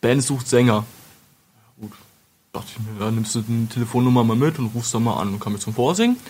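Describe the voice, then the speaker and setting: A man speaks somewhat breathily at a medium pitch with fairly even intonation. His pace is very fast, yet he leaves long, frequent pauses. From Lower Saxony, Wolfenbüttel. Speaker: metal singer and retail clerk. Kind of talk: casual interview. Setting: studio.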